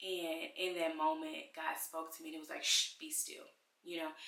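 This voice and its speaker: A woman's voice with audible room echo. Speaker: mom vlogger. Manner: fast.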